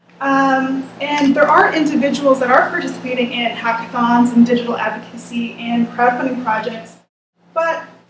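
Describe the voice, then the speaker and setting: There is audible room echo and noticeable background noise as a woman talks fairly quickly at a high pitch. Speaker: researcher presenting a report. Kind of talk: presentation. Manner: fast.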